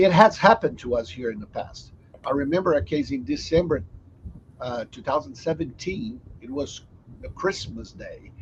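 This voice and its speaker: Speaking at a moderate pace with a strong non-native accent, a man shows big swings in loudness. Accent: strong foreign. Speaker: software company host. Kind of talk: company video chat.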